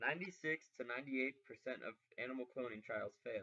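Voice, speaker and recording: A man's medium-pitched voice, an ordinary speaking voice, at a fairly quick pace with ordinary pitch variation. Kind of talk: informational persuasive narration.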